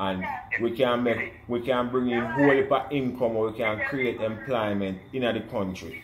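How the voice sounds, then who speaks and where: With noticeable background noise behind him, a man with a Jamaican accent speaks at a medium pitch with fairly even intonation. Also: moderate pace. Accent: Jamaican patois. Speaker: almond farmer. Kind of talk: casual conversation.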